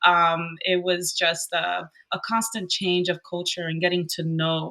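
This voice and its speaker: Speaking in a Spanish accent, a woman with a fairly low pitch and a bright, sharp tone talks at a fairly slow pace with monotone, flat intonation. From Southern Florida, Cuban American family. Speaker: rental host and investor. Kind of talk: podcast interview. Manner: hesitant, many fillers.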